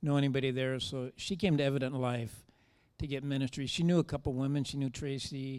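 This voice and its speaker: A man with a plain, everyday voice talks at a moderate pace and a fairly high pitch on a very clean recording with a silent background. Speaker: church member sharing testimony. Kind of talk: testimony.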